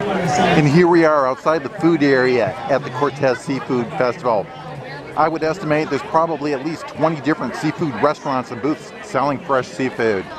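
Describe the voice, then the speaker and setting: A man talks at a moderate pace with crowd noise in the background. The sound is dry with no echo. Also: ordinary pitch variation. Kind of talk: casual vlog chat. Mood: upbeat, enthusiastic. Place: market. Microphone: phone near.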